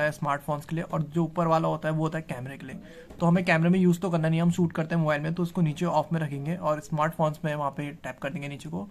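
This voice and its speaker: A man talking at a very fast clip, hardly pausing at all, in a flat, monotone delivery. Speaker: vlogger. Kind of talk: casual vlog chat, product unboxing. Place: home room. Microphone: phone near.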